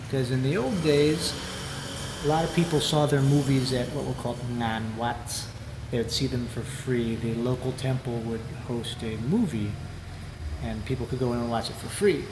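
With noticeable background noise, a man speaks at a moderate pace with ordinary pitch variation and long, frequent pauses. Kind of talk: interview answer. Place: hall.

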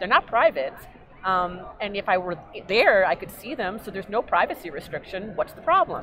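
Faint music plays behind a woman with an American accent, recorded dry with no echo. She talks at a fairly quick pace with lively intonation and big swings in loudness. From New York. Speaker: genealogy hobbyist and nonprofit founder; interview guest. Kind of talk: interview. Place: hall.

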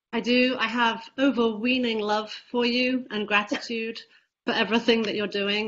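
Over light background noise, a woman talks at a fairly high pitch. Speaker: co-host reading audience questions. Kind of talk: interview. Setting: video call. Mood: warm, grateful. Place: home room. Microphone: video call.

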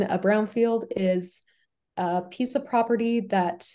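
The background is quiet. The speech moves at a very slow pace. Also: woman. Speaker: webinar moderator. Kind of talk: webinar presentation. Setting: video call. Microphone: webcam.

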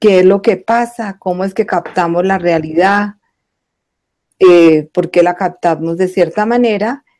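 Against a quiet background, a woman speaks at a fairly slow pace in a dark, mellow tone. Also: fairly even intonation. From Colombia, Bogotá. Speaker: guest sharing spiritual life story; guest. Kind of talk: testimony. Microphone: video call.

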